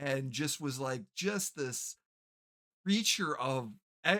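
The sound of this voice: Lively intonation and a fairly bright tone mark this slow-paced speech.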